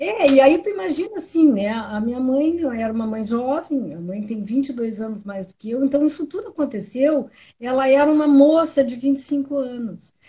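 A woman with a high pitch talks at a moderate pace with lively intonation, big swings in loudness and hardly any pauses. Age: 60s. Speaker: lawyer and political activist. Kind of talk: casual interview.

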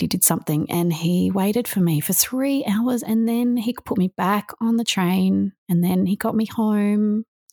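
A woman in an Australian accent, dark and mellow in tone, with ordinary pitch variation and a dry, close sound with no echo. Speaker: author and motivational speaker. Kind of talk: interview testimony.

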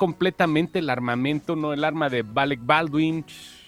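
Music plays behind a man speaking with a Mexican accent. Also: dry, close sound with no echo. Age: 40s. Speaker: pop culture commentator. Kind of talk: casual chat.

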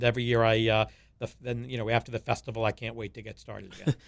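A man with an American accent at a very fast pace, medium pitch and bright, sharp tone, in a very clean recording with a silent background. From US Northeast (Long Island, New York). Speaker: food festival founder, cookbook author. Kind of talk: interview, casual chat.

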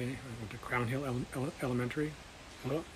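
A man with an American accent talks at a fairly quick pace and a medium pitch. His intonation stays fairly even over noticeable background noise. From Washington State, US. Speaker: host's father. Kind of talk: casual family interview.

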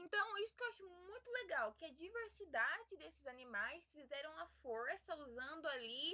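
A woman speaks in a raised, projected voice at a fairly slow pace. Her pitch swings very widely. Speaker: podcast co-host. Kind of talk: casual chat.

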